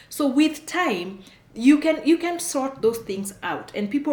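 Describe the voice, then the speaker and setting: Noticeable background noise accompanies a woman speaking with lively intonation. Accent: strong Kenyan. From Kenya. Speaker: immigration consultant, channel host. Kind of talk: advice talk to camera. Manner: animated.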